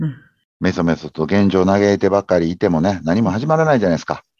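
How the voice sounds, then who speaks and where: In a dry, close sound with no echo, a man with a very deep, low pitch and a dark, mellow tone makes very wide pitch swings. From Japan, Kobe (Kansai). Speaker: habit-formation consultant. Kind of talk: interview conversation.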